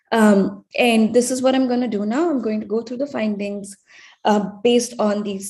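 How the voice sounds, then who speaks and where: Somewhat breathy and dark, mellow in tone, a woman speaks at a moderate pace in a fairly high voice with ordinary pitch variation. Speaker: researcher presenting findings. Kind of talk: conference presentation. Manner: hesitant, many fillers.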